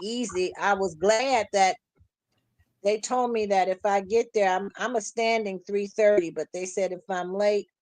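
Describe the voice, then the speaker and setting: Here is an unremarkable speaking voice from a woman, medium in pitch, with fairly even intonation at a fairly slow pace. The sound is dry and close, with no echo. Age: 60s. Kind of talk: casual chat.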